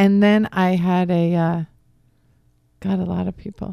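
A woman with a slight Boston accent speaks in a dark, mellow tone and a flat monotone, recorded with a dry, close sound and no echo. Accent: slight Boston accent on certain words. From Philadelphia area, US. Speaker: divorce coach. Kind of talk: radio interview. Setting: radio studio.

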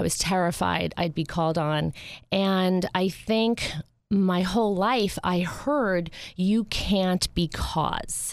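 Speaking with an American accent, a woman holds a medium pitch, ordinary pitch variation and very even loudness. Her pace is very slow, in a very clean recording with a silent background. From US Northeast, North Jersey (Bergen County). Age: 40s. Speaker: charity founder. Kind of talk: radio interview. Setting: studio.

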